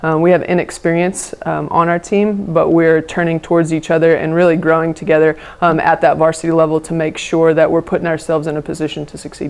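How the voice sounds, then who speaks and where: Talking at a very fast pace with hardly any pauses, a woman in a fairly low voice speaks in a monotone, flat intonation over noticeable background noise. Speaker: high school volleyball coach. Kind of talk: press conference answers. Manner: many filler words (um, uh).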